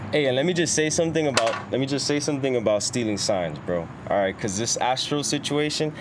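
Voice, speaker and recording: Over noticeable background noise, a man with an American accent speaks at a medium pitch with lively intonation, very even loudness and hardly any pauses. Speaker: podcast host. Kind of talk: casual chat.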